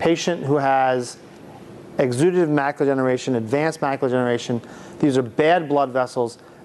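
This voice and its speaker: Ordinary pitch movement in a male voice, backed by noticeable background noise. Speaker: ophthalmologist. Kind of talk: lecture. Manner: fast; halting.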